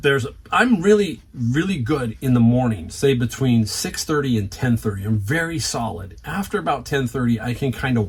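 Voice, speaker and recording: A somewhat breathy man at medium pitch, with lively intonation and a moderate pace. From San Francisco Bay Area, San Jose. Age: 60s. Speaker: reseller YouTuber. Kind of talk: casual vlog talk. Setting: garage. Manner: conversational, with frequent fillers.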